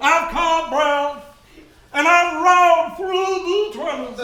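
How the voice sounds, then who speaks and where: With a slight echo, a put-on character voice speaks at an extremely high pitch and a fairly slow pace. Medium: actual play. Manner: gushing, bubbly.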